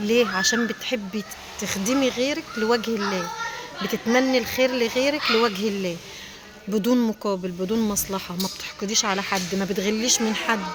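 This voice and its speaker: Quiet speech with an Egyptian accent at a moderate pace, ordinary pitch variation, and noticeable background noise. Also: woman, fairly high pitch for a woman. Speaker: small business owner selling furniture covers. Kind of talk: casual vlog talk to viewers. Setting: inside a factory. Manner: quiet, lowered voice.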